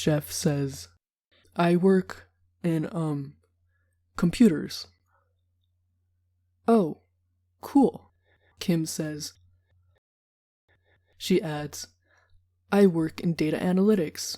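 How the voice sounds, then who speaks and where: A woman's dark, mellow voice with an American accent, ordinary pitch variation, a very slow pace and long, frequent pauses. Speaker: English teacher. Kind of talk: read story for English learners. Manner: slow, clear.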